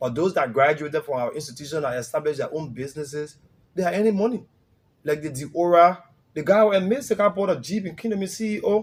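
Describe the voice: A man with a fairly high pitch talks at a fairly quick pace. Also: ordinary pitch variation.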